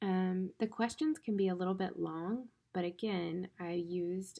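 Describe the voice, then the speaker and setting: Her voice dark and mellow in tone, a woman speaks at a medium pitch and a moderate pace with fairly even intonation. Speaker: teacher. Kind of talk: tutorial. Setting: recorded at home. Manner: casual, friendly.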